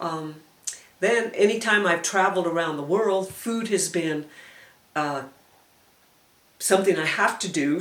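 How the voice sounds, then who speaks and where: A woman with an American accent speaks at a moderate pace and a fairly low pitch. Her pitch varies in an ordinary way, and audible room echo surrounds her voice. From El Paso, Texas. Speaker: oral history interviewee. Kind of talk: oral history interview. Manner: reminiscing, hesitant.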